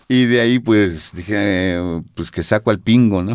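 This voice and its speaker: A man with a fairly low pitch, ordinary pitch variation and a fairly slow pace. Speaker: experimental rock vocalist. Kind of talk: interview. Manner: hesitant.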